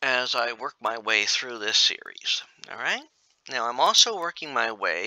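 The clip is reading aloud in a natural voice. The background is quiet.

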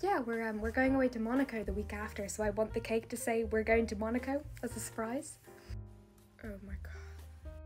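The speech moves at a moderate pace with faint music in the background. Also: woman. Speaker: skit creator playing baker. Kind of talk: comedy skit dialogue. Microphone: phone near.

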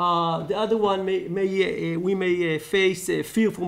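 This is a man speaking. He has an Israeli accent. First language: Hebrew. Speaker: law lecturer. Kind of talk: conference talk. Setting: stage with audience. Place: hall. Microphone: podium.

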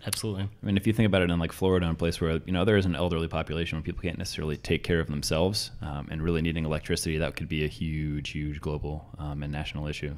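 Very deep and low, a man's voice moves at a very fast pace with hardly any pauses. His intonation stays fairly even. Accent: American. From Boston. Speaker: comedian and IT consultant. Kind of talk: panel discussion. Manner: dry, sarcastic. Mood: earnest, thoughtful. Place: home room. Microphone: studio mic.

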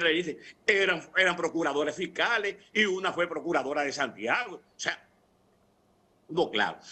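A man talks in a high pitch. His tone is bright and sharp. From Dominican Republic. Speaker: opposition party leader; TV guest. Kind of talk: political debate panel. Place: home room. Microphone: video call.

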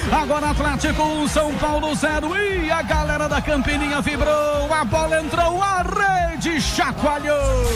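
Someone shouts at a fairly slow pace over loud background music. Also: man, extremely high pitch for a man, hardly any pauses. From Brazil. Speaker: sports commentator. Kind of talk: excited football goal call. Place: booth. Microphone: handheld.

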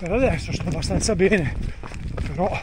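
A man speaks at a moderate pace with ordinary pitch variation, the sound dry with no echo and noticeable background noise behind him. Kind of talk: casual vlog chat during race. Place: open country. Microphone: phone near.

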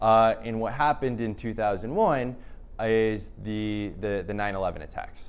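Audible room echo surrounds a man speaking at a very slow pace. His pitch sits at a medium level, with fairly even intonation. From San Diego, California and abroad (Latin America, East Africa). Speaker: nonprofit founder. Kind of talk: talk and panel conversation.

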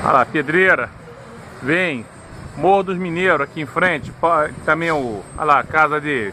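Over light background noise, a man speaks at a fairly slow pace with ordinary pitch variation in a dry sound with no echo. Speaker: amateur radio operator. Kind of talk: casual descriptive commentary. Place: street. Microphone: phone near.

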